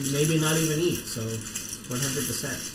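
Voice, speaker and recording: A man talks in an excited tone with ordinary pitch variation. Audible room echo and noticeable background noise surround him. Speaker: live streamer building lego. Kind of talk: casual livestream chat. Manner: quiet unless excited.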